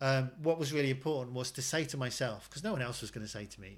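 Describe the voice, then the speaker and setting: In an English accent, a man talks at a fairly quick pace with a medium pitch. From England. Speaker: actor. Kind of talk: casual chat.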